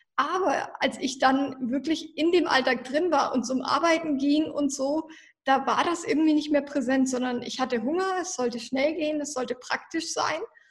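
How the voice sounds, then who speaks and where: A woman's high voice, with ordinary pitch variation, carries her words at a moderate pace. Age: 20s. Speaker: nutritionist. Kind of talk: interview.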